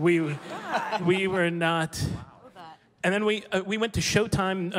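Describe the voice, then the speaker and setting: The speaker keeps a moderate pace over light background noise. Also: man. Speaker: panelist. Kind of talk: panel discussion storytelling. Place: stage. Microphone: handheld.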